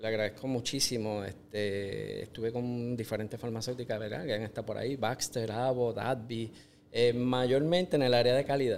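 At a moderate pace, a man with a medium pitch talks in fairly even intonation. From Puerto Rico. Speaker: agri-food entrepreneur, engineer. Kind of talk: interview. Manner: halting.

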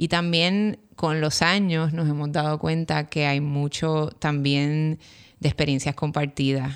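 A woman in a Puerto Rican accent, very slow and very deep and low in pitch, on a very clean recording with a silent background. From Puerto Rico, Río Piedras. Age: 40s. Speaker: architect and educator. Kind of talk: interview conversation. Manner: hesitant, many fillers.

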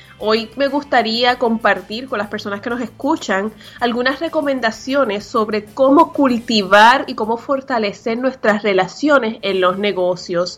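A woman's fairly slow speech, with ordinary pitch variation, sits over noticeable background noise. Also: fairly high pitch for a woman, hardly any pauses. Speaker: podcast co-host, business coach. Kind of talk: casual talk show chat and advice segments.

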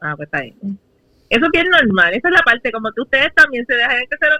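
Her pitch swings very widely as a woman races through her words at a very fast pace. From Puerto Rico, San Juan metro area. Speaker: podcast co-host. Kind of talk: casual chat. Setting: video call.

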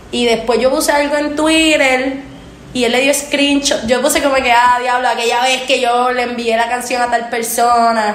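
In a Puerto Rican accent, a woman speaks at a high pitch and a moderate pace with an animated tone and very even loudness, amid noticeable background noise and audible room echo. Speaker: singer. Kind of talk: casual chat.

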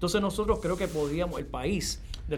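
Talking at a fairly quick pace, a man is heard with audible room echo and noticeable background noise. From Puerto Rico, Yabucoa (east). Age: 50s. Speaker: university professor and bilingualism expert. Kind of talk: interview.

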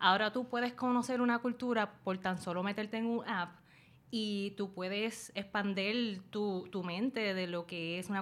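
A woman speaks at a fairly slow pace in a plain, everyday voice. Her medium pitch follows fairly even intonation. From Puerto Rico. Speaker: YouTuber and dog rescuer. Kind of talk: casual interview chat. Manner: code-switching Spanish and English.

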